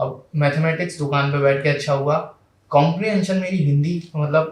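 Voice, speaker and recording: This man's voice sits fairly high in pitch, somewhat breathy, with fairly even intonation at a moderate pace. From Madhya Pradesh, India. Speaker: civil services exam topper. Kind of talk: interview. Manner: hesitant fillers.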